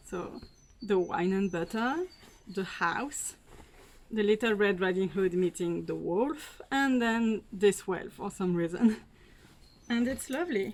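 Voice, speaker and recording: In a French accent, a woman takes a fairly slow pace. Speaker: fashion unboxing vlogger. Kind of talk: casual talk to camera.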